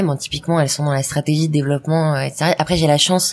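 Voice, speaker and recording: A woman speaks very fast in a very deep, low voice. Her intonation is monotone and flat, with noticeable background noise. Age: 30s. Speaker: entrepreneur. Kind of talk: interview. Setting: stage with audience.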